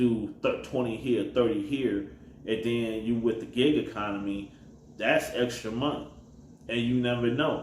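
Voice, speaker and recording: With an American accent, a man speaks at medium pitch and a moderate pace, with ordinary pitch variation and audible room echo. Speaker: rideshare driver and gig economy vlogger. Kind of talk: casual advice monologue. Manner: mumbling.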